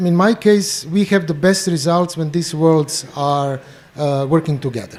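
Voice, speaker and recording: In a Croatian accent, a man speaks at a fairly slow pace with a high pitch and ordinary pitch variation. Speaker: bioenergy therapist. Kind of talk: panel discussion introduction. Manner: halting.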